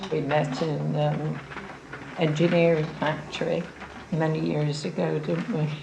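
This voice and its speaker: A woman talks at a fairly slow pace with very even loudness and long, frequent pauses. There is audible room echo and noticeable background noise. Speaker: local resident. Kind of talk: interview.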